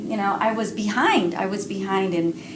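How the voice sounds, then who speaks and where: In a Spanish accent, a woman talks at a moderate pace amid noticeable background noise and audible room echo. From Cuba. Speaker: writer and parent educator. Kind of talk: interview.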